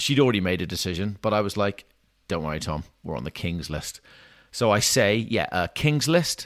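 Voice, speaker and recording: With a Welsh accent, a man talks in a fairly low voice and lively intonation over a very clean recording with a silent background. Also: moderate pace. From Wales, small town. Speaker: personal trainer and podcast host. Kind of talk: storytelling monologue.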